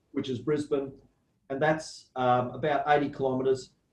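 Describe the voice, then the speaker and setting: Spoken with an Australian accent, this voice has ordinary pitch variation and audible room echo. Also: man. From Australia, southeast Queensland. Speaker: university plant pathology lecturer. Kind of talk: lecture.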